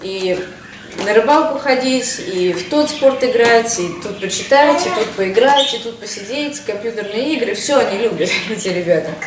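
Noticeable background noise runs through the clip. A woman speaks in a fairly high voice. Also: lively intonation, moderate pace. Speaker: mother vlogger. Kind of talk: casual vlog. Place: home room. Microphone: camera far.

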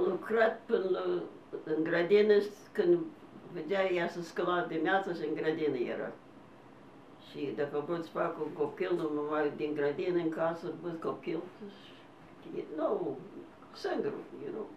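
A woman's fairly low voice at a very slow pace, with long, frequent pauses, audible room echo and light background noise. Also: ordinary pitch variation. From Canada. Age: 90s. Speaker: elderly interviewee; interviewee. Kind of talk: oral history interview. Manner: halting. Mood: warm, smiling. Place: home room. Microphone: camera far.

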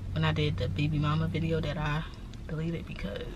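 A woman at a fairly quick pace, dry sound with no echo, noticeable background noise. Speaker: vlogger. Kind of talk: casual vlog chat. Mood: relaxed, chatty, hungry. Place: car. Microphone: phone near.

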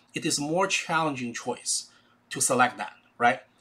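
A man speaks in a Chinese accent at a moderate pace. His tone is bright and sharp. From China. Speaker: educator, YouTube channel host. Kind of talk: casual educational talk. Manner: animated, conversational. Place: home room. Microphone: webcam.

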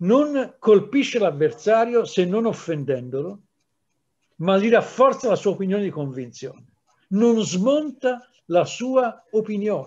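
High-pitched male voice with very wide pitch swings at a very slow pace. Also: quiet background. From Italy, Livorno; Italy. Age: 60s. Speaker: historian; historian lecturing teachers. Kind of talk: lecture. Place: home room. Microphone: webcam.

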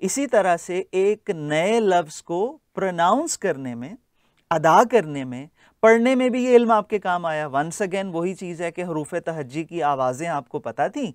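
A man with a high pitch speaks at a very slow pace, his loudness swinging widely. The sound is dry with no echo, and the background is quiet. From Pakistan. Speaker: linguistics lecturer. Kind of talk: lecture. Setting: classroom. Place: classroom. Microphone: lapel.

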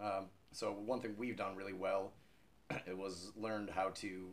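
A man's fairly low pitch and fairly even intonation, with an American accent. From United States. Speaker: rock singer. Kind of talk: interview answer. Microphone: camera far.

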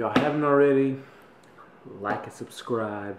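Loud background noise surrounds the speaker. A man talks at a moderate pace. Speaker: vlogger. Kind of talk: casual vlog chat. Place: kitchen. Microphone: phone near.

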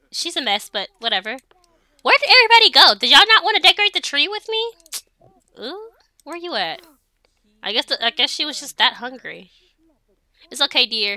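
A woman talks at a fairly quick pace in a raised, projected voice, high-pitched with a bright, sharp tone and very wide pitch swings. Her loudness swings widely, and she leaves long, frequent pauses. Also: dry, close sound with no echo. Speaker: gaming let's play creator. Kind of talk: casual gameplay commentary.

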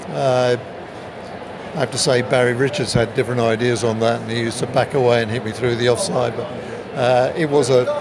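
With noticeable background noise behind him, a man speaks at a moderate pace with an English accent. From England. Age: 70s. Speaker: retired cricketer. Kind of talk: interview answer. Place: stadium. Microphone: phone near.

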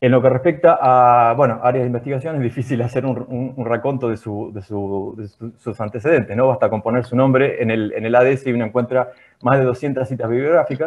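A man talking at a very fast pace over a quiet background. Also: fairly even intonation, hardly any pauses. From Argentina. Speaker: seminar moderator. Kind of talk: formal introduction. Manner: halting. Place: home room. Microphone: earbuds.

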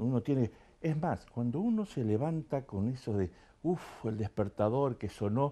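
A dark, mellow tone with lively intonation at a moderate pace. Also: man. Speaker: talk show host. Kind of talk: show opening monologue. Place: studio. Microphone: lapel.

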